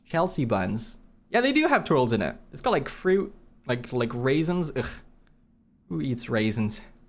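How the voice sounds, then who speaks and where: With very wide pitch swings and long, frequent pauses, the speaker talks at a fairly slow pace amid audible room echo. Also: man, medium pitch for a man. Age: 20s. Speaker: gaming streamer. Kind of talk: live stream chat. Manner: casual, rambling with frequent fillers.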